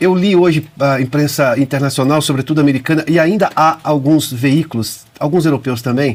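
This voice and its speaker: A normal speaking voice from a man with a fairly high pitch, moderate pace, ordinary pitch variation, very even loudness and hardly any pauses. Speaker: talk show host. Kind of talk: interview.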